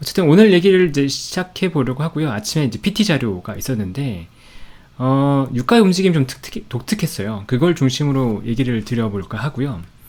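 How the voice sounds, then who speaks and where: This man talks at a fairly quick pace, his fairly high pitch swinging very widely. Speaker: stock market commentator. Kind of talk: market commentary. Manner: conversational, with fillers.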